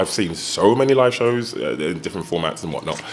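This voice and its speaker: Over noticeable background noise, a man speaks in a medium pitch with lively intonation. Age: 40s. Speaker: musician and theatre producer. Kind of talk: panel talk. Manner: halting, many repetitions and fillers.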